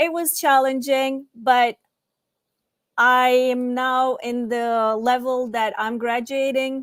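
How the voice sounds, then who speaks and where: A woman's high voice in a Turkish accent, very slow pace, fairly even intonation. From Turkey. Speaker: student panelist. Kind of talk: panel discussion. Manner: halting.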